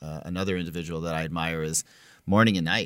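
A man with an American accent at a fairly quick pace, fairly even intonation, on a very clean recording with a silent background. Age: 40s. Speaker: chiropractor and podcast host. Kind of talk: casual interview chat.

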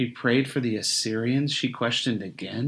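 A fairly even intonation from an unforced reading voice

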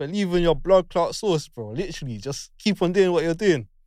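The voice has a London accent and lively intonation at a fairly quick pace. The sound is dry and close, with no echo. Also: man. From West London. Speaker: sound engineer. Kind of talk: casual chat.

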